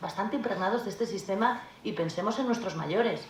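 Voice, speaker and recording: With audible room echo and noticeable background noise, a woman talks very fast at medium pitch with ordinary pitch variation. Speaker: notary. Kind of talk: panel talk at a conference. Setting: conference hall.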